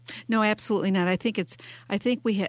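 A woman's voice with an American accent and ordinary pitch variation. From Detroit, Michigan. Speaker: author. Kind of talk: radio interview. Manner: halting with frequent repetitions.

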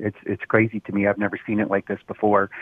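This man has an American accent. He talks at a fairly low pitch. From Roseville, Michigan (Detroit suburbs). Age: 60s. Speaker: voter. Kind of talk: radio call-in interview. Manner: halting, repeats words.

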